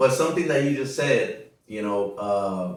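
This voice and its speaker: In a room with audible echo, a man with a Spanish accent talks at a very slow pace with ordinary pitch variation. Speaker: podcast host. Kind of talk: casual interview. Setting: at a relative's home.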